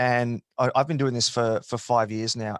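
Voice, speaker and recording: In an Australian accent, a man talks in a monotone, flat delivery, captured dry and close with no echo on a very clean recording with a silent background. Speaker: podcast host. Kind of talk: interview answer.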